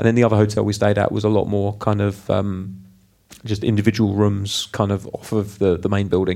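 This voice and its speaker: With a British accent, a man with a fairly low voice rattles along at a very fast pace in a flat monotone. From UK. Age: 30s. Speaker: podcast co-host. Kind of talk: casual chat.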